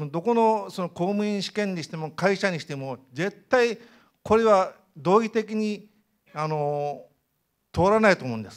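A high-pitched man at a fairly slow pace, with big swings in loudness, against a quiet background. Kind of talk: audience comment at public meeting. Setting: indoor hall, seated with microphone. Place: hall.

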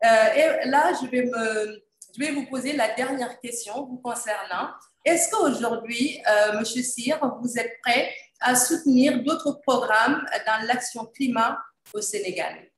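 The speech moves at a very slow pace with ordinary pitch variation. Audible room echo surrounds it. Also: woman, high pitch for a woman. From Senegal. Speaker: environmental journalist and moderator; environmental journalist, moderator. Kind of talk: panel moderation. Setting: video call. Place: office. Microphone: video call.

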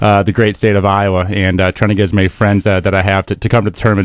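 Against a quiet background, a man with a fairly low pitch talks at a very fast pace, the sound dry with no echo. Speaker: guest. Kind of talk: interview answer. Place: studio. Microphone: studio mic.

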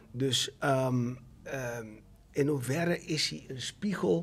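Very slowly, a man speaks with a fairly high pitch and ordinary pitch variation. His voice is somewhat breathy. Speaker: actor and theatre director, father; actor. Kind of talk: casual chat. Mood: reflective, calm. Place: studio. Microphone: studio mic.

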